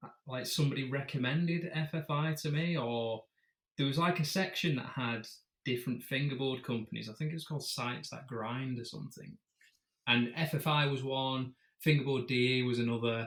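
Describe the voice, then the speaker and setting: Speaking at a fairly quick pace, a man with a British accent keeps a fairly even intonation at a medium pitch. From UK. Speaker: fingerboarder. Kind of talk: casual interview chat.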